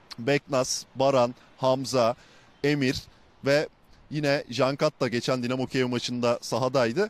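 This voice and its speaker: A man's unremarkable speaking voice, fairly high in pitch and fairly slow, the sound dry with no echo. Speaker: sports reporter. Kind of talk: live report. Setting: outdoors. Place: stadium. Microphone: handheld.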